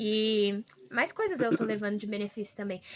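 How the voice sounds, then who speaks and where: A woman speaks in a sing-song way with a rural Brazilian accent at a moderate pace. Noticeable background noise is present. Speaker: model and social media worker, volunteer. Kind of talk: casual chat. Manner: sing-song intonation; expressive.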